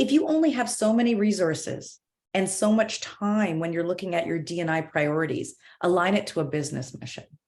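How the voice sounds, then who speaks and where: Her pitch sits fairly low for a woman, and her intonation is lively. She speaks at a fairly quick pace. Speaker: corporate diversity and inclusion director. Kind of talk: panel discussion. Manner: fast.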